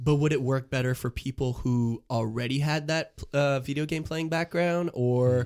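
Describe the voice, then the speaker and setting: Over a very clean recording with a silent background, a man with a normal speaking voice talks at a moderate pace, a medium pitch, and fairly even intonation. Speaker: sports podcast co-host. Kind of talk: casual chat. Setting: studio.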